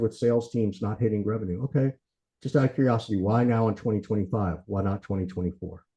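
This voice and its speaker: Somewhat breathy, a man talks at a very fast pace. His tone is dark and mellow. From US South, Macon, Georgia. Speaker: sales consultant. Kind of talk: lecture.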